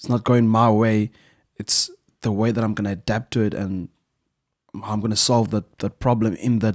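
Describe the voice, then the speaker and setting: With a Zimbabwean accent, a man speaks in a fairly low pitch and monotone, flat intonation, leaving long, frequent pauses. The sound is dry and close with no echo, on a very clean recording with a silent background. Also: moderate pace. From South Africa (Western Cape, Swellendam), born in Zimbabwe. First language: Shona. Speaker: musician. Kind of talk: casual chat.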